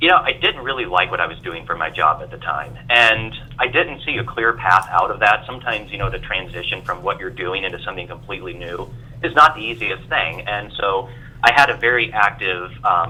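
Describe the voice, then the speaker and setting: Over noticeable background noise, a man with an American accent talks at a medium pitch, his loudness swinging widely. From Iowa, US Midwest. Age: 30s. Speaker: industry analyst and speaker. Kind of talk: podcast interview.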